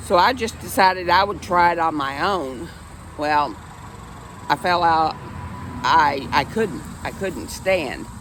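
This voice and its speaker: Noticeable background noise and audible room echo surround a woman speaking at fairly low pitch with ordinary pitch variation. She talks at a fairly slow pace with long, frequent pauses. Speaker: vlogger and stroke survivor. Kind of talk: casual personal vlog. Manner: halting.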